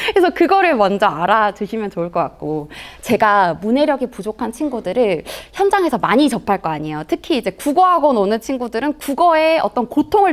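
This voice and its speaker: A fairly high-pitched woman's voice, fairly quick, with very wide pitch swings. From Jeolla province, South Korea. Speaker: Korean language tutor and author. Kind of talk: lecture to parents.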